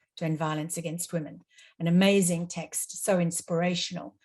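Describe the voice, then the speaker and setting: Somewhat breathy, the voice keeps fairly even intonation at a moderate pace. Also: woman. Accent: Australian. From Australia. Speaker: international law expert, panelist. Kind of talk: webinar presentation. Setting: online webinar.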